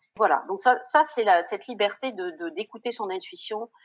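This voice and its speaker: Moving at a moderate pace, a woman speaks with a fairly high pitch and very wide pitch swings. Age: 60s. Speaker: former doctor turned shop owner. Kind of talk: casual interview chat.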